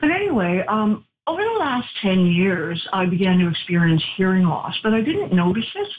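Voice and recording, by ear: At a moderate pace, a woman with a medium pitch makes big pitch swings.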